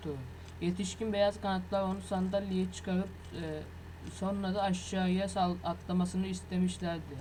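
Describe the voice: A passage is read aloud plainly.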